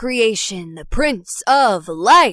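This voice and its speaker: A woman's put-on character voice, high-pitched, fairly slow, with very wide pitch swings. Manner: theatrical, mocking, pompous.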